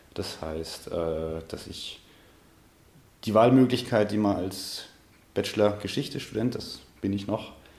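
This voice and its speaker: Very deep and low, a man's voice has a dark, mellow tone. Room echo is audible. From Munich, Bavaria. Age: 20s. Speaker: history student. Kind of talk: interview. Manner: halting, repeats words.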